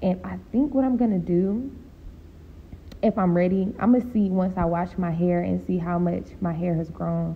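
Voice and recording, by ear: Speaking at a moderate pace, a woman uses a fairly low pitch with vocal fry.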